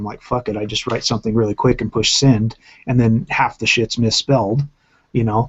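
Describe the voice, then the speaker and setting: Speaking very fast, a man with a medium pitch sounds somewhat breathy, his intonation fairly even. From Japan. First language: Japanese. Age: 40s. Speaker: channel host. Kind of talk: casual chat.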